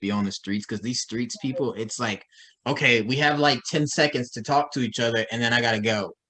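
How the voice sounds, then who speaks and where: Fairly quick pace from a man with a bright, sharp tone, medium pitch and ordinary pitch variation. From Dallas, Texas. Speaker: interview show host. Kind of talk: casual interview chat.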